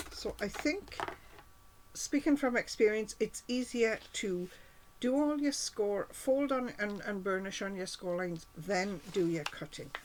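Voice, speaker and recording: Against noticeable background noise, a woman speaks at a fairly slow pace. Her pitch is medium and her intonation lively. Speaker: cardmaking demonstrator. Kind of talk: tutorial.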